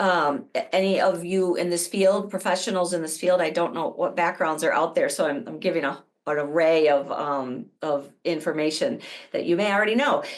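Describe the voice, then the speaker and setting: A woman with an ordinary speaking voice, medium pitch and a moderate pace. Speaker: addiction therapist presenter. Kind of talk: webinar presentation. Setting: online webinar.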